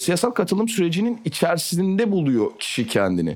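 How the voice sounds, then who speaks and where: A man speaks at a moderate pace. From Turkey. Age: 20s. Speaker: politician. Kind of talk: interview.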